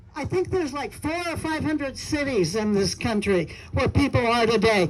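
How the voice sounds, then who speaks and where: A woman's lively intonation over noticeable background noise. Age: 70s. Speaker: activist. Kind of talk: rally speech.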